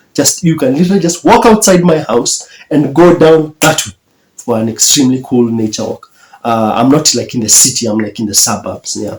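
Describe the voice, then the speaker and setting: A man's fairly high voice in a Kenyan accent, fairly quick in pace, with very wide pitch swings. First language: Kikuyu. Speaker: YouTuber. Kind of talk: reaction commentary. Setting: at his mother's house.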